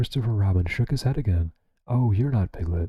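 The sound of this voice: An unforced reading voice with lively intonation plays over a quiet background.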